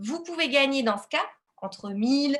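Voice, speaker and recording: Speaking at a fairly slow pace, a woman has a plain, everyday voice with lively intonation. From Lille, northern France. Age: 20s. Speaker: independent entrepreneur, network marketing. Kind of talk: business opportunity presentation, live webinar.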